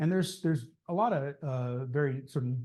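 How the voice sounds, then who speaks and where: Against a quiet background, a somewhat breathy voice with a dark, mellow tone moves at a fairly quick pace. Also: man. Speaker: ham radio club presenter. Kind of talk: club meeting presentation. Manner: fast; hesitant, many fillers.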